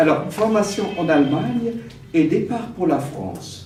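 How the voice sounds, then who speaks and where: Here a man with a high pitch talks at a very slow pace with lively intonation. Audible room echo and noticeable background noise fill the recording. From Germany, Cologne. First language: German (speaking French). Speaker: theologian, honorary doctorate recipient. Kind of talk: academic lecture. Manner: hesitant, many fillers.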